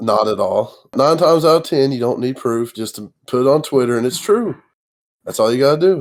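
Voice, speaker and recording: A man talks at a fairly quick pace. His fairly high voice has lively intonation. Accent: Appalachian. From Kentucky. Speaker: gamer. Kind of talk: casual podcast chat.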